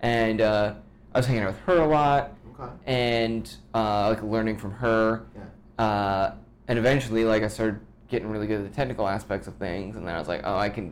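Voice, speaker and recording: With an American accent and a normal speaking voice, a man talks at a fairly quick pace. His pitch is fairly low, with ordinary variation. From US, Washington DC suburbs. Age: 30s. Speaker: musician and photographer. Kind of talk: casual chat.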